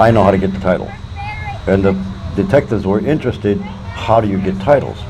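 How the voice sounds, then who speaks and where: A man with an American accent, fairly low in pitch and talking at a very fast pace with ordinary pitch variation, amid noticeable background noise and audible room echo. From Detroit, Michigan. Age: 60s. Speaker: homeless man. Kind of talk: interview.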